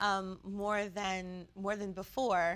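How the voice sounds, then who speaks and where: A woman with an American accent and a bright, sharp tone, speaking at a very slow pace on a very clean recording with a silent background. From Prince George's County, Maryland. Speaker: university staff organization president. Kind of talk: interview. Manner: hesitant, many fillers.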